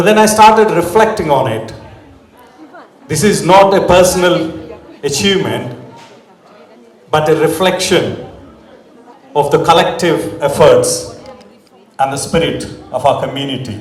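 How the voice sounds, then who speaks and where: Against noticeable background noise and audible room echo, a man with an Indian accent speaks at a high pitch and moderate pace, with lively intonation and long, frequent pauses. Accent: Indian English (Telugu). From South India (Telugu-speaking village). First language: Telugu. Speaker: community leader, award recipient. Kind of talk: acceptance speech. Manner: formal.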